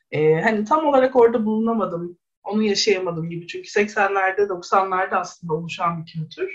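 With an ordinary speaking voice, a woman talks at a medium pitch with ordinary pitch variation, hardly any pauses and big swings in loudness. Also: moderate pace. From Istanbul, Kadıköy (Bostancı). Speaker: sociology researcher. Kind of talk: radio interview.

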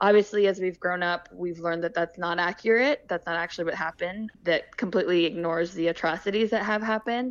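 A woman with an American accent speaks at a very fast pace with hardly any pauses. Her pitch is fairly low, with ordinary variation. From Fort Bragg, Northern California. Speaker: patient navigator. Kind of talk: interview.

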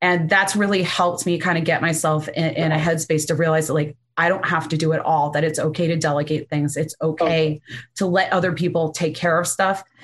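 A woman with a fairly low pitch talks at a fairly quick pace in a somewhat breathy voice. Her intonation is monotone and flat, and her loudness stays very even. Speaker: lawyer and law firm owner. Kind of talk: interview conversation.

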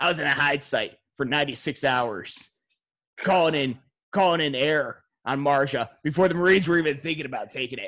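A man's put-on character voice, mumbling at a moderate pace with fairly high pitch. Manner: gruff, boastful.

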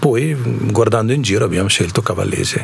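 Noticeable noise sits behind a man speaking at a moderate pace. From India. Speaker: shop owner, immigrant. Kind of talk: radio interview.

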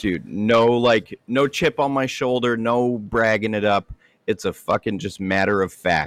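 A plain, everyday voice, recorded with a dry, close sound with no echo against a quiet background, speaks at a fairly slow pace with ordinary pitch variation. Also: man, medium pitch for a man. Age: 30s. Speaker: knife maker. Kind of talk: casual chat.

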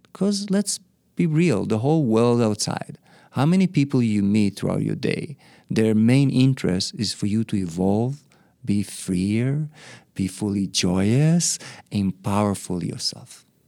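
At a fairly slow pace, a man talks with a medium pitch and lively intonation. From Israel. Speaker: spiritual teacher and monk. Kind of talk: interview.

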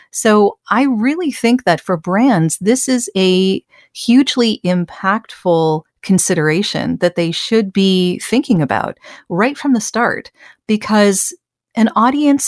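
Intonation is lively. The pace is very slow. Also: woman. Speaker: voice actor. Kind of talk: interview conversation. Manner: friendly, warm.

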